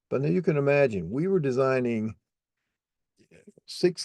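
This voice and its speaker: Very wide pitch swings move through a voice with a dark, mellow tone. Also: man. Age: 60s. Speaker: software trainer. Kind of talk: tutorial.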